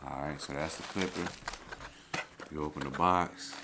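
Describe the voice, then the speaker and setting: A man with a very deep, low pitch speaks in a monotone, flat way over noticeable background noise. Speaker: barber reviewing clippers. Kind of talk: product unboxing vlog. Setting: at home early morning. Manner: quiet, trying not to wake others.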